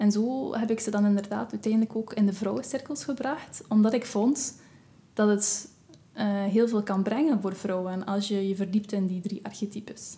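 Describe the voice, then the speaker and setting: A woman's normal speaking voice, medium in pitch, at a moderate pace with fairly even intonation. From West Flanders, Belgium. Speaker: massage therapist and witch. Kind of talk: casual interview chat.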